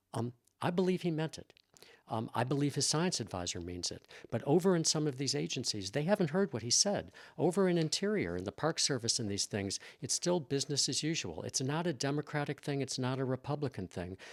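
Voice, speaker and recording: Dry and close with no echo, a man with an American accent talks at a fairly quick pace in very wide pitch swings. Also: very clean recording, silent background. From US Midwest, Chicago. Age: 60s. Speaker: scientist and former professor. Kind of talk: interview. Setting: in person. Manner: repetitive, restarting phrases.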